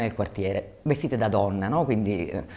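A woman with a dark, mellow tone talks at a very fast pace. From Sicily, Catania; Sicily. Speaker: documentary filmmaker. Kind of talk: interview; interview answer. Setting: film festival. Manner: hesitant, many fillers. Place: hall. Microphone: lapel.

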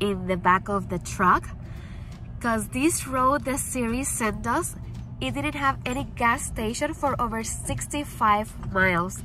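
Faint music plays in the background while a woman speaks at a fairly slow pace, in a dry sound with no echo. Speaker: pet vlogger. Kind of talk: casual vlog chat. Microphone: phone near.

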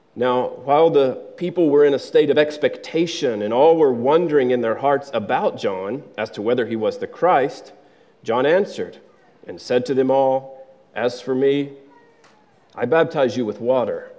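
Here is an unremarkable speaking voice from a man, pitched fairly high. His pitch varies in an ordinary way at a moderate pace. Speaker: scripture reader. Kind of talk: reading aloud. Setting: church. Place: church.

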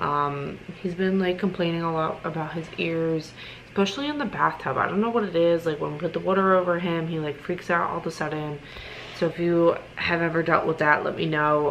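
A woman speaks at a low pitch with fairly even intonation. Faint background noise sits behind her. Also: fairly bright tone.

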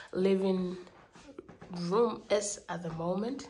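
A woman speaks slowly at a medium pitch with ordinary pitch variation and a slightly mellow tone, with audible room echo.

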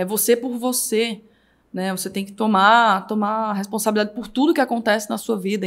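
Fairly high-pitched speech from a woman at a moderate pace, with ordinary pitch variation, in a very clean recording with a silent background. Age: 20s. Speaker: digital marketing entrepreneur. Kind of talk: casual chat. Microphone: speaks very close to the microphone.

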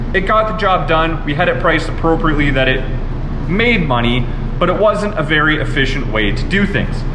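Speech moves at a fairly quick pace. Noticeable background noise runs underneath. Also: man. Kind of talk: tutorial. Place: workshop.

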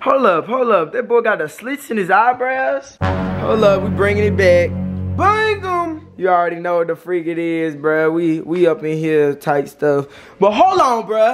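Faint music plays behind a man who speaks at a fairly slow pace. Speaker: vlogger. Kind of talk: casual vlog chat. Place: kitchen. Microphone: phone near.

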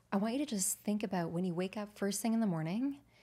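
The voice has a dark, mellow tone, is somewhat breathy and has lively intonation, heard in a very clean recording with a silent background. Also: woman. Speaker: nutritionist. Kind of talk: interview conversation. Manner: warm.

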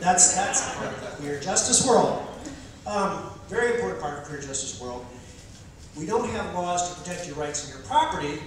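The pitch swings very widely throughout. Strong room echo and noticeable background noise fill the recording. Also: man, high pitch for a man, moderate pace. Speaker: political candidate doing stand-up. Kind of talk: stand-up comedy with political satire, delivered as a campaign speech. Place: stage.

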